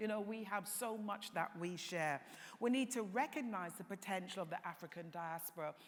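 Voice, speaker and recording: A woman with a British accent, medium in pitch, with ordinary pitch variation and a moderate pace. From England. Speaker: tourism industry panelist. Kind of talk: conference panel talk.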